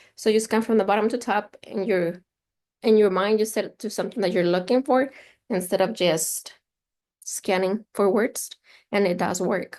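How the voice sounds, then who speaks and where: Against a quiet background, a woman with a Spanish accent talks at a fairly quick pace in a medium-pitched voice with fairly even intonation. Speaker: instructional consultant. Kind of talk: online training session.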